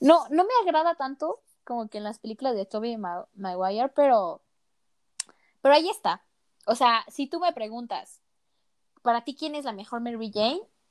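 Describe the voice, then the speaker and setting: In a dry, close sound with no echo, a woman with a high, animated voice uses lively intonation and leaves long, frequent pauses. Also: moderate pace, big swings in loudness. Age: 20s. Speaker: podcast co-host, student. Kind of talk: casual chat.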